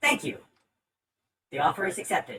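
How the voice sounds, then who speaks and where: Someone delivers a put-on character voice at a fairly quick pace. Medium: actual play. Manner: formal, stilted, speaks of its owner as "she says".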